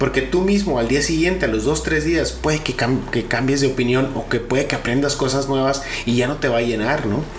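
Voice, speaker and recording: A man with a northern Mexican accent at a fairly quick pace, hardly any pauses, ordinary pitch variation and very even loudness, with audible room echo and noticeable background noise. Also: medium pitch for a man. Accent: northern Mexican (Sonoran) Spanish. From Mexico, Sonora. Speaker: podcast co-host. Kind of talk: casual chat. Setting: home.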